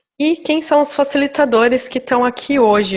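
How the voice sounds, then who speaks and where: A fairly slow pace with ordinary pitch variation. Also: woman. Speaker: agile coach and meetup organizer. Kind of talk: online meetup presentation. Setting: remote online meeting.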